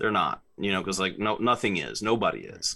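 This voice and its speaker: A man with a bright, sharp tone talks at a moderate pace at a fairly low pitch. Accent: American. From South Carolina. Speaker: sportswriter and author. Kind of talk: interview. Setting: video call.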